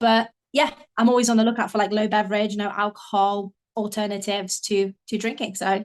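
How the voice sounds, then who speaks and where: A woman speaks at a fairly quick pace in a fairly high pitch. Her intonation is monotone and flat. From Poland, moved to UK at seven. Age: 20s. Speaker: marketing professional. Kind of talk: casual interview. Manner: hesitant, many fillers.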